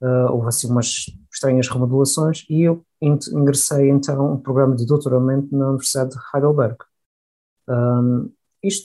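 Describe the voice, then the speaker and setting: At a moderate pace, a man talks in a dark, mellow tone with fairly high pitch. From Madeira, Portugal. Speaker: engineer and company head. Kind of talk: interview.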